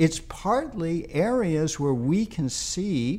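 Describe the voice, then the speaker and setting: A man with an American accent and very wide pitch swings. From New York City, Queens. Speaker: university president and physicist. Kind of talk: interview.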